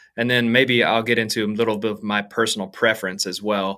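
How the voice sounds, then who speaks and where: The man's tone is bright and sharp, captured in a very clean recording against a silent background. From Arkansas. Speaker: worship songwriter and artist. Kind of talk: casual interview. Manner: hesitant, with fillers and repetitions.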